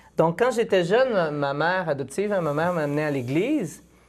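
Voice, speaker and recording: High in pitch, a man speaks at a moderate pace with lively intonation. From Quebec, Île d'Orléans; Quebec. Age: 20s. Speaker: philosophy doctoral student and speaker; speaker. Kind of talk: testimony. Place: studio.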